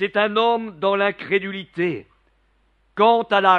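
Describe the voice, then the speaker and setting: At a very slow pace, a man with a high pitch speaks with ordinary pitch variation. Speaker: preacher. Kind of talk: sermon. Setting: church. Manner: animated, fervent, persuasive; rhetorical, repeats refrain 'regarde mes mains'.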